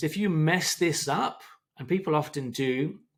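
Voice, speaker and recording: A man speaks in an unremarkable speaking voice. His pitch is fairly high, with ordinary pitch variation. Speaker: English teacher. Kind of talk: tutorial.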